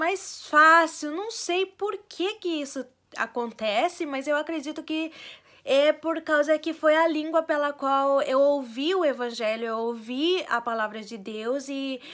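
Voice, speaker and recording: In a very clean recording with a silent background, a woman with a Spanish accent speaks very slowly in a high pitch, her tone bright and sharp and her intonation lively. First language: Spanish (speaking Portuguese). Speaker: vlogger. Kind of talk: casual personal vlog. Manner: hesitant, many fillers.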